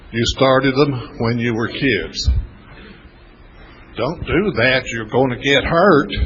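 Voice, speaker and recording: A man speaks at a very slow pace with long, frequent pauses, his medium-pitched voice showing ordinary pitch variation over noticeable background noise. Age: 70s. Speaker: recovery mentor. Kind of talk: workshop talk.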